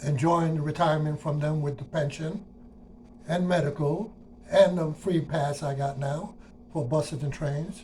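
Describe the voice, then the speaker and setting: A man with a fairly high voice and a New York accent, fairly even intonation, at a moderate pace. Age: 60s. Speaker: retired transit worker. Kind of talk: personal monologue. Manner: casual, conversational.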